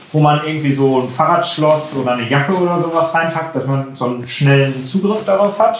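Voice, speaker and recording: A man talking at a fairly quick pace with ordinary pitch variation, audible room echo and light background noise. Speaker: product reviewer. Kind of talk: product review chat. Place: home room.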